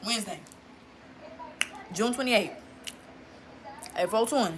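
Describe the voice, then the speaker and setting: With noticeable background noise behind her, a woman talks in a fairly high pitch with lively intonation. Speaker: vlogger. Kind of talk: casual vlog chat. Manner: fast; loud.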